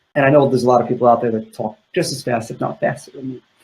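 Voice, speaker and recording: Talking at a very fast pace, a man with a medium pitch sounds somewhat breathy. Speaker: video marketing expert. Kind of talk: live Q&A interview.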